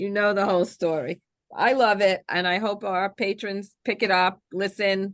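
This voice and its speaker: A woman with a New York accent, medium pitch and a moderate pace. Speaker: librarian and podcast host. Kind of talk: casual interview chat. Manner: animated.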